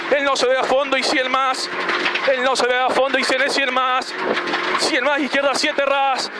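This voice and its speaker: Loud background noise runs throughout. The speech moves at a fairly slow pace. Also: dry sound with no echo. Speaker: rally co-driver. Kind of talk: rally co-driver pace notes call. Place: car. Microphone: headset.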